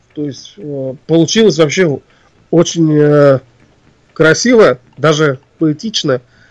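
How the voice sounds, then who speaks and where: Speaking at a fairly high pitch with ordinary pitch variation, a man moves at a very slow pace with long, frequent pauses and big swings in loudness, the sound dry and close with no echo. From Russia, Ufa (Bashkortostan). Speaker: composer and arranger. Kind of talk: interview. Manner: hesitant, many filler sounds.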